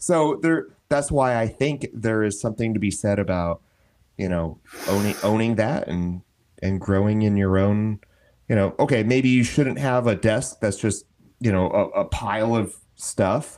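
With an ordinary speaking voice, a man talks at a moderate pace, his pitch fairly low with ordinary variation, on a very clean recording with a silent background. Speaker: co-host. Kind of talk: casual banter and interview. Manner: playful, joking.

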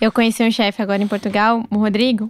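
A woman with an unremarkable speaking voice talks at a fairly high pitch with fairly even intonation, in a very clean recording with a silent background and a dry, close sound with no echo. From southern Brazil, Curitiba. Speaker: chef and gastronomy content creator. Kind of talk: casual interview chat.

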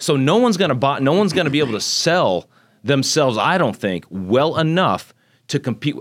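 On a very clean recording with a silent background, a man talks at a fairly quick pace in a fairly high pitch with very wide pitch swings and vocal fry. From Texas (Magnolia, north of Houston), born in Japan. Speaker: congressional candidate. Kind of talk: interview. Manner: animated.

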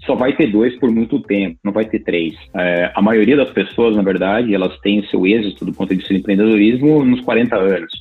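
With ordinary pitch variation, the talking goes at a moderate speed and hardly any pauses. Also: man, fairly low pitch for a man. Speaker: tech executive and university lecturer. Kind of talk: interview. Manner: halting, many filler repeats.

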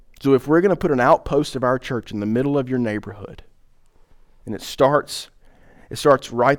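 In a Southern US accent, a man speaks with lively intonation on a very clean recording with a silent background. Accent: Southern American. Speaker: pastor. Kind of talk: sermon. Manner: hesitant, many fillers.

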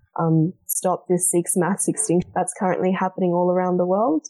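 A woman speaks with an Australian accent at a fairly low pitch. The sound is dry and close, with no echo. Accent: Australian, milder than thick Aussie. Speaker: wildlife conservation charity representative. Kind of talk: casual charity stream chat.

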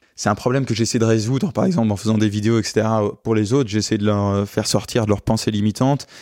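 Very fast and very even in loudness, a man's fairly low voice has a dark, mellow tone and fairly even intonation. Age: 20s. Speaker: luxury car rental entrepreneur. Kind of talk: interview. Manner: halting.

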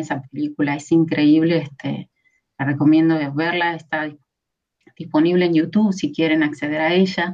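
Her tone dark and mellow, a woman speaks in a very deep, low pitch with fairly even intonation. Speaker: film conservator and researcher. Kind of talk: interview conversation. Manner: hesitant with fillers.

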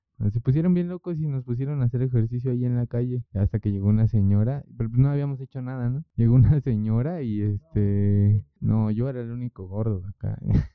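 A man has an unremarkable speaking voice at medium pitch. His pitch variation is ordinary, and he leaves hardly any pauses. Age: 20s. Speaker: street juggler and clown. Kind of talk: casual chat.

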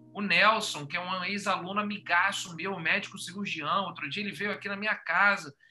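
A raised, projected voice moves at a moderate pace with hardly any pauses. Noticeable background noise is present. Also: man, high pitch for a man. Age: 40s. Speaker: podcast host and teacher. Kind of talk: casual chat. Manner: animated.

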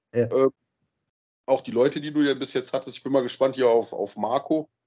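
Speaking at a moderate pace with a medium pitch, a man keeps his intonation fairly even and takes long, frequent pauses. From Rhineland-Palatinate, Germany. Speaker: camping group organizer. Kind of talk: casual chat. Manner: halting, repeats words.

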